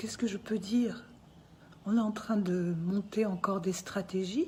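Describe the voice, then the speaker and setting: Her pitch medium and its variation ordinary, a woman talks at a fairly slow pace. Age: 60s. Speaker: artist speaking out about family dispute. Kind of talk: personal testimony. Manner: emotional, insistent.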